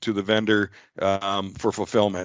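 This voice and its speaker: Against a quiet background, a man speaks in a fairly low pitch with a dry, close sound and no echo. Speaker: software presenter. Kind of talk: webinar product demo. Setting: online webinar. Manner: fast; halting, many fillers.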